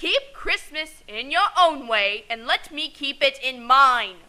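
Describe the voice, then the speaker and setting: A woman uses a put-on character voice that is gruff and high-pitched. She speaks at a fairly slow pace with lively intonation. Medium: read story. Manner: gruff, scornful.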